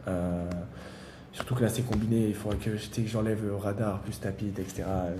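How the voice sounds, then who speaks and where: A man speaks in a fairly low pitch with monotone, flat intonation, and room echo is audible. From France, Valence near Lyon. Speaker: startup founder. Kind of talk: interview. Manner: fast; halting, many fillers.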